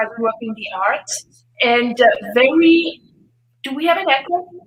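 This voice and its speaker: A woman with a French accent, fairly slow, with ordinary pitch variation. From Switzerland. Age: 60s. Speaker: fitness expert and author. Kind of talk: interview. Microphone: echo.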